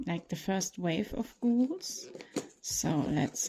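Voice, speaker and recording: In a non-native accent, a woman speaks very slowly in a dark, mellow, somewhat breathy tone with very wide pitch swings. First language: not English. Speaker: toy collector and reviewer. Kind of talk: unboxing tutorial. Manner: casual, slightly halting.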